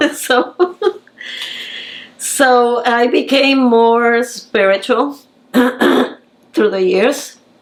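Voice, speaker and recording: A woman speaks in a fairly high voice. Noticeable background noise runs underneath. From Puerto Rico. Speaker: painter. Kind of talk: interview answer.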